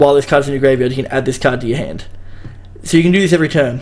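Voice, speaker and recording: Very fast speech in an Australian accent. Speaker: card game YouTuber. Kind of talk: casual commentary video. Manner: casual, hesitant.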